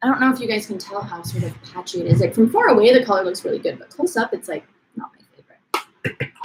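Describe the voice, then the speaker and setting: A woman talks at a very fast pace, her loudness swinging widely. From Portland, US Pacific Northwest. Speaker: vintage beauty YouTuber. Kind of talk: live stream beauty tutorial chat. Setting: live stream at home, partner filming. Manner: casual, chatty.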